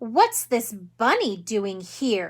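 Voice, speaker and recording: A woman does a put-on character voice, pitched fairly high. She growls, with ordinary pitch variation. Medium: read story. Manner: brisk, no-nonsense.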